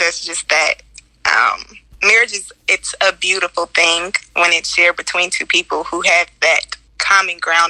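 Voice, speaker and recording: Recorded dry and close with no echo but with noticeable background noise, a woman talks at a moderate pace. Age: 20s. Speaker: podcast host. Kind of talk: casual chat. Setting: live audio chat room.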